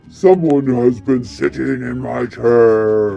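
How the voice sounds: In a put-on character voice, a man sounds gruff at a medium pitch. He talks at a very slow pace.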